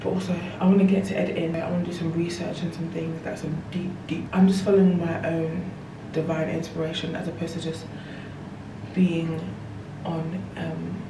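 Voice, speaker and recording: The speech comes at a moderate pace in monotone, flat intonation with long, frequent pauses, while audible room echo and noticeable background noise fill the recording. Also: woman, fairly low pitch for a woman. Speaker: lifestyle vlogger. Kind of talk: casual vlog talk to camera. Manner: whispering.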